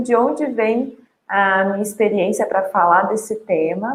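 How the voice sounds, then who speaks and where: A woman's voice with lively intonation. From Brazil, Minas Gerais (Sete Lagoas). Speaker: journalist and emotional balance trainer. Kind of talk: online talk / webinar.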